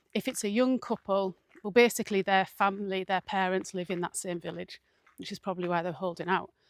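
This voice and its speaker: On a very clean, dry, close recording with no echo and a silent background, a woman with an English accent talks very fast at a medium pitch with fairly even intonation. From England. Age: 40s. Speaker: mindfulness vlogger. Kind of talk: casual vlog talk.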